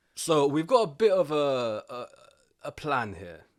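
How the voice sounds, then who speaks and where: Very wide pitch swings in a London accent, on a very clean recording with a silent background. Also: man. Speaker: podcast co-host. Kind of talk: casual chat.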